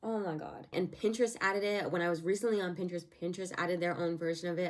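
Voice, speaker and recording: A woman's plain, everyday voice at medium pitch, moving at a fairly quick pace. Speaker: YouTuber. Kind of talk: casual vlog commentary.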